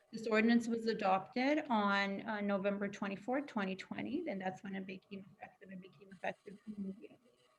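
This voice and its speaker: Speaking very fast and soft-spoken, this voice has big swings in loudness and ordinary pitch variation over noticeable background noise. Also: woman, medium pitch for a woman. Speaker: county wage enforcement official. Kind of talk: webinar presentation. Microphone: far from the mic.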